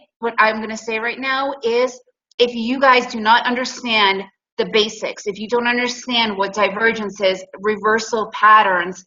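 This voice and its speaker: A woman with an American accent speaks at a fairly high pitch. She keeps a moderate pace and fairly even intonation. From United States. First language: Russian. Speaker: day trading instructor. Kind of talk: webinar presentation. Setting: online webinar.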